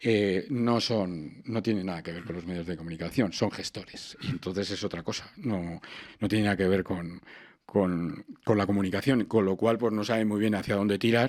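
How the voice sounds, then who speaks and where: A man's fairly low voice carries ordinary pitch variation as he talks at a moderate pace. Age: 60s. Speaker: radio presenter. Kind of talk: interview conversation. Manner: animated.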